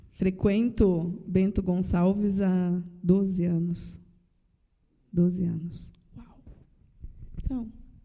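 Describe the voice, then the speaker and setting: A woman with a Paraná accent, very slow pace and long, frequent pauses, medium pitch, somewhat breathy dark, mellow tone, fairly even intonation and big swings in loudness. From Paraná, Brazil. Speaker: church member sharing testimony. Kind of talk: casual chat.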